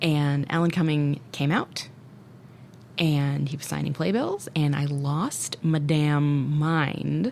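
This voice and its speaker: This woman's voice sits very deep and low, with an American accent and ordinary pitch variation. She talks at a very slow pace over noticeable background noise. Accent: Minnesota accent emerges when excited. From US Midwest. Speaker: podcast co-host. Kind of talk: casual chat. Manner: animated.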